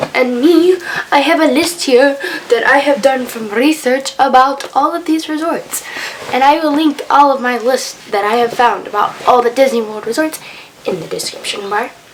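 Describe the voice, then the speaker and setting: Noticeable background noise accompanies a woman speaking at a moderate pace in a high pitch with lively intonation. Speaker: vlogger. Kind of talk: casual tutorial-style vlog. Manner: casual.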